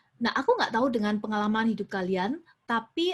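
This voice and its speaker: Against a quiet background, a woman with a strong Surabaya accent speaks at a fairly high pitch. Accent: strong Surabaya (East Javanese). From Indonesia, Surabaya (East Java). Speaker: youth preacher. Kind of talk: sermon. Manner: mixes Indonesian with English phrases.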